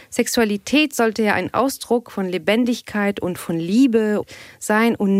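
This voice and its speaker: An ordinary speaking voice from a woman at a medium pitch, fairly slow, with ordinary pitch variation and a dry, close sound with no echo. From Tunisia (Tunis). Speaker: aerospace engineer and sex therapist. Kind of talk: casual chat.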